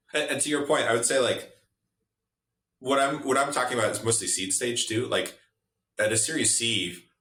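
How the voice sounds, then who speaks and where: A man of medium pitch speaks at a fairly quick pace with ordinary pitch variation, leaving long, frequent pauses, in a room with audible echo. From Russia. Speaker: venture capital investor. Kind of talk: podcast interview. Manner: casual, many fillers and restarts.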